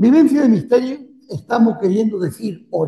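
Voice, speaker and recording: A high-pitched male voice with very wide pitch swings. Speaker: priest. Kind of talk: lecture. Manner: halting.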